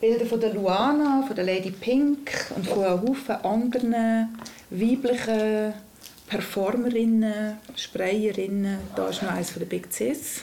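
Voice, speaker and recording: Amid noticeable background noise and audible room echo, a woman speaks at a fairly slow pace in a fairly high pitch with ordinary pitch variation. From Lucerne region, Switzerland. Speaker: former rapper. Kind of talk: interview.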